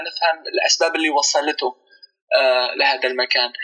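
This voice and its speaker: There is music playing in the background. A man is speaking. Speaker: researcher and documentary filmmaker. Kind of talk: interview.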